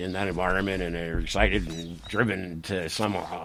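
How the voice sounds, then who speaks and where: A speaker with an American accent talks in a room with audible echo. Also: man. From Rhode Island, US. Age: 60s. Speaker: farmer. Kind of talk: casual interview chat.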